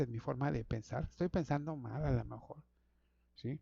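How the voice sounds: A man speaks with a dark, mellow tone and vocal fry, the sound dry and close with no echo.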